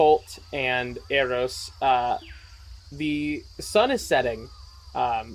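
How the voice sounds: The delivery comes in a natural reading voice.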